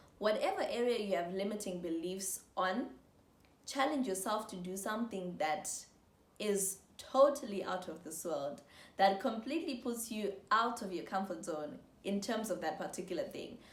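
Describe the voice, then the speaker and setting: A woman with a medium pitch and a somewhat breathy voice speaks at a moderate pace with lively intonation, and room echo is audible. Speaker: motivational YouTuber. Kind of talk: motivational talk to camera. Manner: animated.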